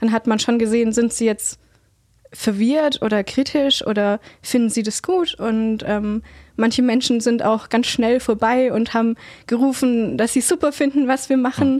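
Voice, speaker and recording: Her voice is a normal speaking voice, fairly high for a woman, with ordinary pitch variation, very even loudness and a moderate pace. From Heidenheim, Swabia, southern Germany. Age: 20s. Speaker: climate activist. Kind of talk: interview.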